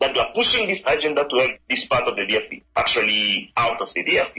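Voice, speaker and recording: Fairly quick speech from a man, backed by music. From Democratic Republic of the Congo. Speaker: mining researcher, doctoral student. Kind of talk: interview answer.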